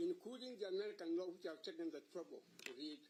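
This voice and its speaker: Over noticeable background noise, a man talks at a fairly quick pace in a high pitch, his voice making very wide pitch swings. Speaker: senior advocate. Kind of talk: court submission. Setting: courtroom. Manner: loud; formal.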